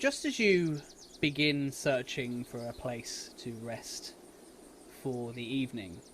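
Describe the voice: With a British accent, a man speaks slowly at a medium pitch, his tone fairly bright and his intonation lively.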